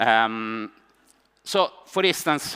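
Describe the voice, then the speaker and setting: A man speaks in a bright, sharp tone with very wide pitch swings. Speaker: economics professor. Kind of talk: panel debate. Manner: fast; halting.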